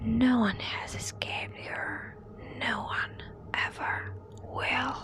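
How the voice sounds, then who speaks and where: A woman whispering at a very slow pace, with noticeable background noise behind her. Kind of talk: ASMR horror story reading. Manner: soft-spoken.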